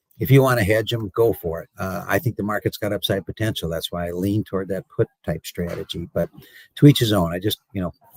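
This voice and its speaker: Somewhat breathy and fairly low, a man's voice shows ordinary pitch variation in a dry, close sound with no echo. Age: 60s. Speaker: cattle market analyst and commodity broker. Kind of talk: interview. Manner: halting, many fillers and repeated words.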